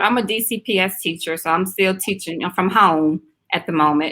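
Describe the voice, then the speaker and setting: Her tone bright and sharp, a woman speaks with a slight Southern US accent and very wide pitch swings. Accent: slight Southern drawl. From South Carolina. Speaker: teacher. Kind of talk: casual interview chat.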